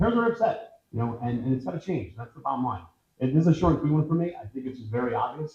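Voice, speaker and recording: A man with an American accent, somewhat breathy, dark and mellow in tone, with very wide pitch swings at a very fast pace. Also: medium pitch for a man. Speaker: political candidate. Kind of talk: candidate forum answer. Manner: fast when excited; animated.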